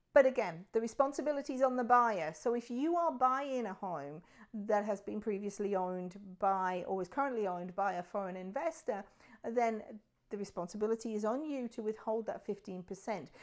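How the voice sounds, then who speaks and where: A woman with a British accent at a fairly high pitch and fairly quick pace, lively intonation, on a very clean recording with a silent background. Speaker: realtor. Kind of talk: explainer video. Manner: conversational.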